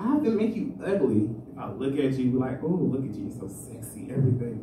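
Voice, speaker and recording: A man's pitch swings very widely as he speaks at a moderate pace. The room echo is audible, with light background noise. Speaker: amateur stand-up comedian. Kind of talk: rambling, confessional open-mic stand-up about dating. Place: stage.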